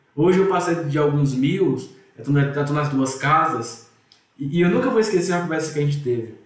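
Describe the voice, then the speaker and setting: Audible room echo around a man's fairly high voice, moderate in pace, with ordinary pitch variation. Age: 20s. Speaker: IT manager, investing student. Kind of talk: casual interview.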